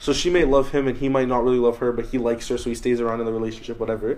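A man talks at a very fast pace in a flat, monotone delivery over noticeable background noise. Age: young. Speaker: university student. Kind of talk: casual chat.

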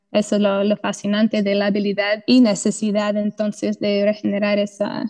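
A woman with an English accent speaks at medium pitch in a dark, mellow tone, her intonation monotone and flat. She keeps a moderate pace with hardly any pauses. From US South (Georgia). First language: English (speaking Spanish). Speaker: mycologist and soil restorer. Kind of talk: interview. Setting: video call.

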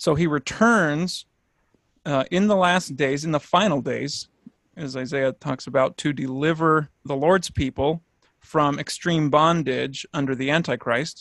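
A man with an unremarkable speaking voice talks at a fairly slow pace and fairly high pitch, with ordinary pitch variation. The recording is very clean with a silent background and a dry, close sound with no echo. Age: 30s. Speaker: religious researcher and former music teacher. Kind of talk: podcast interview.

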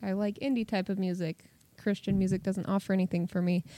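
An ordinary speaking voice from a woman, medium in pitch with fairly even intonation, in dry, close sound with no echo on a very clean recording with a silent background. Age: 20s. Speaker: church worship and youth leader. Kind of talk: casual chat.

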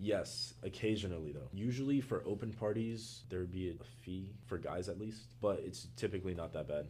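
With an American accent, this dark, mellow voice shows lively intonation and vocal fry, and audible room echo surrounds it. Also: man, fairly low pitch for a man, moderate pace. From Florida, Miami. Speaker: college student. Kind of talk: casual interview.

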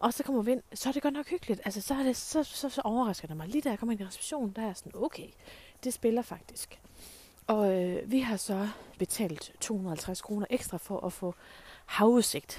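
A woman's somewhat breathy voice with a dark, mellow tone, fairly high pitch, and moderate pace. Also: lively intonation. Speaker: podcast host. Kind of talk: casual solo podcast monologue. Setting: outdoors on a walk.

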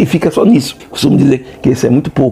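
A man is heard over noticeable background noise. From southern Bahia, Brazil (Tupinambá of Olivença). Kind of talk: interview.

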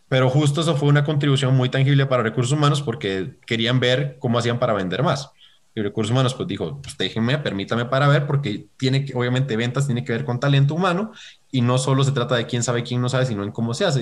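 A man's somewhat breathy voice at medium pitch, with ordinary pitch variation and a very fast pace. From Costa Rica. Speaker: talent management consultant. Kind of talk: interview.

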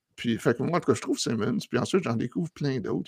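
In a Quebec accent with vocal fry, the voice makes very wide pitch swings, the sound dry and close with no echo. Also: man. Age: 50s. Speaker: geographer, academic. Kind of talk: casual interview chat.

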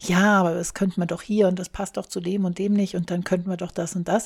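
A woman's somewhat breathy voice of medium pitch and a dark, mellow tone. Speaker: solo podcaster. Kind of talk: casual monologue. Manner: less energetic than usual.

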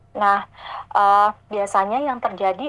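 A woman's fairly high voice comes through with a dry, close sound and no echo. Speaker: psychologist. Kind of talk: radio interview. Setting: video call.

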